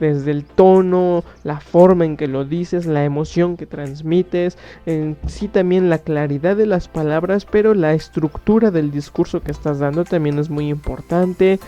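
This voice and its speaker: Music runs behind a woman's voice. Her intonation stays fairly even. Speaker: radio-style show host. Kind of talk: casual monologue. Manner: halting.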